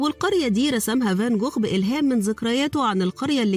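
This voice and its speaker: A woman speaks in an Egyptian accent with a high pitch and lively intonation at a moderate pace. Music plays in the background. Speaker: voice-over artist. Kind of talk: educational documentary narration.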